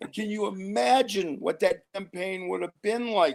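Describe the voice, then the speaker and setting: This man has a high pitch, ordinary pitch variation and a moderate pace. The recording is very clean, with a silent background. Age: 60s. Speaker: interview guest. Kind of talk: casual interview chat.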